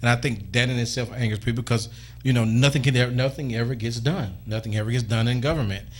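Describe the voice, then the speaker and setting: The voice is somewhat breathy and moves at a very fast pace. Its intonation stays fairly even. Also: man, medium pitch for a man. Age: young. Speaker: radio talk show host. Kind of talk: call-in radio talk show.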